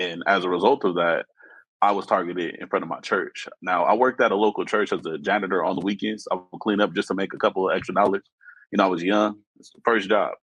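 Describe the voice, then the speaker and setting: A man speaks at a very fast pace with an American accent and fairly even intonation. His pitch is fairly low, and the sound is dry and close with no echo. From Los Angeles area, California. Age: 30s. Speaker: guest sharing personal story. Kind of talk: testimony.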